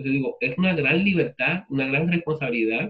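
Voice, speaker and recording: This man talks at a very fast pace. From Puerto Rico. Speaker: literature professor. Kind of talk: lecture with class discussion. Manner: conversational.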